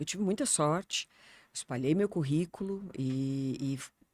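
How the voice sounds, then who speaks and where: Speaking at a fairly slow pace, a woman has a very deep, low pitch with ordinary pitch variation. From southern Brazil, Porto Alegre. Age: 60s. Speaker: journalist. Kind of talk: interview conversation. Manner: hesitant, many fillers.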